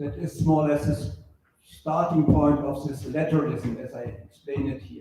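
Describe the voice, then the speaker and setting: With a continental European accent, a man talks at a moderate pace and fairly high pitch amid audible room echo. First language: not English. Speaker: book author. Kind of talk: lecture.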